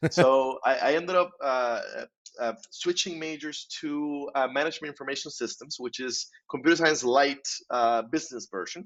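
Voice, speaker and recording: This man talks with a Spanish accent in a fairly high voice, with ordinary pitch variation. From Costa Rica. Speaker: insurance professional and author. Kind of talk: podcast interview.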